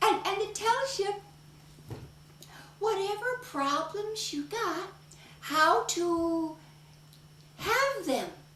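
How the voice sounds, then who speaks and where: Using a put-on character voice at an extremely high pitch, a woman speaks at a very slow pace with long, frequent pauses and a slight echo. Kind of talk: solo theatre performance. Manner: upbeat, energetic.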